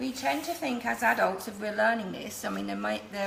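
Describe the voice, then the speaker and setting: Someone speaks at a fairly quick pace against noticeable background noise. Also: woman. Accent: English. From England, London. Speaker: cake decorating teacher. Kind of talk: live tutorial.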